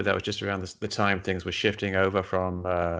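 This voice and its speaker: Delivered in an English accent, the speech runs in a monotone with flat intonation. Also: man. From England. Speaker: science writer and skeptic, former game programmer. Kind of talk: interview.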